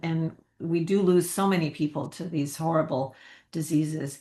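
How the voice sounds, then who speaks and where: In an ordinary speaking voice, a woman with an American accent talks at a moderate pace and a fairly low pitch over a quiet background. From US. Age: 60s. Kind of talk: casual interview.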